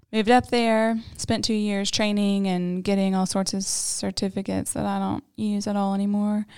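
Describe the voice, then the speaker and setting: A woman with a Southern US accent at a medium pitch and moderate pace, monotone and flat in intonation with hardly any pauses, on a very clean recording with a silent background. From Tennessee, Knoxville. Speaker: church member, new podcast co-host. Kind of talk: casual chat, personal testimony.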